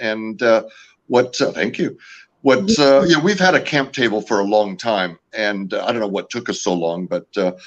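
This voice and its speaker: A man's medium-pitched voice with lively intonation at a moderate pace, over a quiet background. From California. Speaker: company founder and owner. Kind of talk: interview. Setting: live video show. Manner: hesitant, many fillers.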